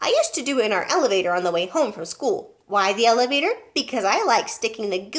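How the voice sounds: Someone reads in a natural voice.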